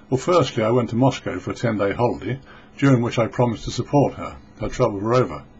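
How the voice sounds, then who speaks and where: A man's somewhat breathy voice at a medium pitch and very fast pace. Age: 60s. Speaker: vlogger. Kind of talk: personal testimony. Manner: halting.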